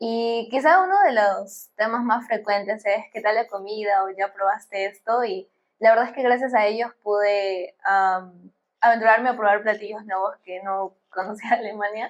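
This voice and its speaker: A woman's fairly high voice at a moderate pace with fairly even intonation, an ordinary speaking voice. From Peru. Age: 20s. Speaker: bioengineering student. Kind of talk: podcast interview.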